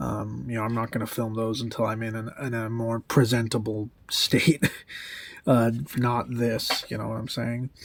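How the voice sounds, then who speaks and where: A man speaks quietly at a moderate pace in a very clean recording with a silent background. His medium pitch stays in a monotone, flat intonation. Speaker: musician and vlogger. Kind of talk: casual vlog update. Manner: speaking quietly; hesitant, many fillers.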